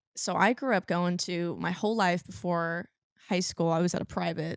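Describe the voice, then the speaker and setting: A woman with a slight country accent speaks at a fairly low pitch, and the sound is dry and close with no echo. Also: very clean recording, silent background. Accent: slight country twang. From California. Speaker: country singer. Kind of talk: interview.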